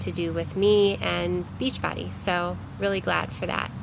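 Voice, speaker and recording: In a Cleveland accent, a woman speaks with a very deep, low pitch and very wide pitch swings. Audible room echo and noticeable background noise surround her voice. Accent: Inland Northern American (Cleveland). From US Midwest, Cleveland, Ohio. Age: 30s. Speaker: vlogger. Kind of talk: casual personal vlog. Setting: outdoors. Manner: casual with many fillers.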